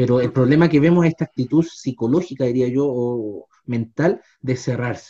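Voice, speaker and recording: A man's somewhat breathy, dark, mellow voice with big swings in loudness, dry and close with no echo. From Chile, Los Andes. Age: 30s. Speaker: history teacher, podcast co-host. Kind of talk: casual discussion. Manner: hesitant, many fillers.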